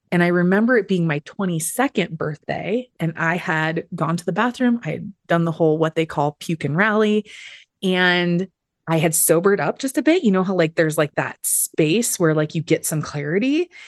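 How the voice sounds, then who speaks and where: A plain, everyday voice moves at a moderate pace, its dry, close sound carrying no echo over a quiet background. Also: woman, fairly low pitch for a woman, ordinary pitch variation. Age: 40s. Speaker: therapist in food addiction recovery. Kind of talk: interview, personal recovery story. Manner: conversational with frequent fillers.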